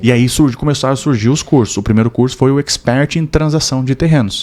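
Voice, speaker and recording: A man talks fairly quickly in a plain, everyday voice, his pitch varying in an ordinary way. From southern Brazil (Rio Grande do Sul). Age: 30s. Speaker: real estate development expert. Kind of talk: podcast interview.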